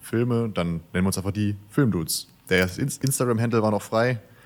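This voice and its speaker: Using a plain, everyday voice, a man speaks at a fairly quick pace. His pitch variation is ordinary. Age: 20s. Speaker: videographer, company co-founder. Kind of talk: casual interview chat. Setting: remote recording.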